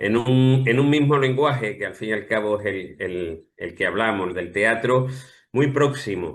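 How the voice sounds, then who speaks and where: In an Andalusian accent, a man talks at a fairly slow pace and medium pitch with ordinary pitch variation, with audible room echo around him. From Andalusia, Spain. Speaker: playwright. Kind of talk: interview.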